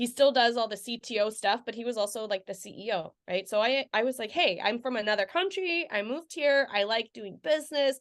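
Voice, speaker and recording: A woman's fairly high voice at a fairly quick pace, lively in intonation and with hardly any pauses. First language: not English. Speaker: sales engineer, podcast guest. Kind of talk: casual interview. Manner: chatty, with many fillers.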